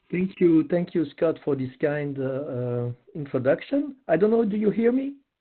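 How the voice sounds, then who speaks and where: Fairly high male voice with a French accent, very wide pitch swings, and a moderate pace. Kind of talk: webinar presentation. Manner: halting, many fillers.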